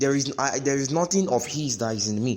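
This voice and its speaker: With audible room echo, a man speaks at a fairly quick pace. His voice is fairly high, with lively intonation. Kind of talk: sermon-style podcast teaching. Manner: halting, repeats words.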